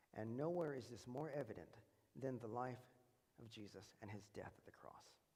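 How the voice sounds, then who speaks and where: Audible room echo surrounds a man whose voice has a dark, mellow tone. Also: medium pitch for a man, ordinary pitch variation, big swings in loudness. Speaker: preacher. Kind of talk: sermon. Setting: church. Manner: fast.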